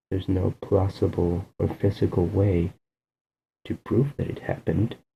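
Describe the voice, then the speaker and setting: Soft-spoken and somewhat breathy, a man talks at a fairly low pitch in a dark, mellow tone with fairly even intonation. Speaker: video blogger. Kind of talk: casual monologue. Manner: soft-spoken, keeping voice down; hesitant, with fillers.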